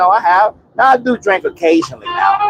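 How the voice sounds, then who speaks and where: Over music in the background, a man talks at a fairly quick pace and his pitch swings very widely. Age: 50s. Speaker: off-grid homesteader vlogger. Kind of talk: casual monologue vlog. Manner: rambling with many fillers.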